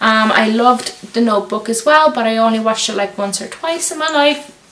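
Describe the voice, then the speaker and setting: With noticeable background noise and audible room echo, a woman speaks at a fairly high pitch with ordinary pitch variation. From Lithuania. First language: Lithuanian. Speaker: YouTuber. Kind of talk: casual Q&A vlog.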